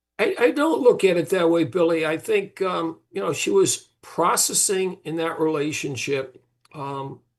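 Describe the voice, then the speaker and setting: Speaking at a fairly slow pace, a man uses a high pitch with ordinary pitch variation. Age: 70s. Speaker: father of a trial defendant. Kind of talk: interview. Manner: halting.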